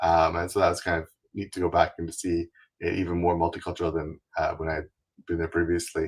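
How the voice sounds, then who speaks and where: A man with a Canadian accent talks at a very fast pace, his very deep, low voice somewhat breathy and monotone, flat in intonation. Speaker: travel website founder, wheelchair user. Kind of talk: interview. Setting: live stream.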